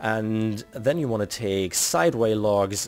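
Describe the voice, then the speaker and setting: A man with a German accent speaks at a fairly slow pace while music plays in the background. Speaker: video game tutorial creator. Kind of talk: tutorial. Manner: casual, with frequent fillers.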